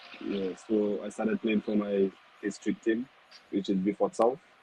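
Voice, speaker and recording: A man with a fairly low pitch and a dark, mellow tone speaks at a moderate pace. The sound is dry and close with no echo, and his intonation is monotone and flat. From Saint Lucia. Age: 20s. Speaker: professional footballer, goalkeeper. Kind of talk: interview. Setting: studio.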